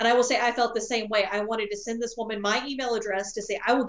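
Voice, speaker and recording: Talking at a very fast pace, a woman with an American accent uses a fairly high pitch. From US South. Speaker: health expert panelist. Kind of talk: panel discussion.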